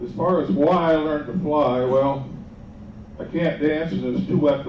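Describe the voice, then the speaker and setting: Over noticeable background noise and audible room echo, the speaker talks at a moderate pace with lively intonation. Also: man. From southern Indiana, US Midwest. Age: 70s. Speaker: flying club volunteer coordinator. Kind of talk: informal talk to a group.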